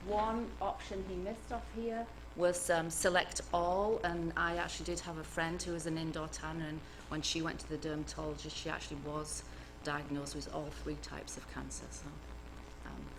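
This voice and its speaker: Soft-spoken, a woman with an English accent talks at a moderate pace amid audible room echo. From northern England, Cumbria. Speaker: cancer epidemiologist. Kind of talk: lecture. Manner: hesitant, many fillers.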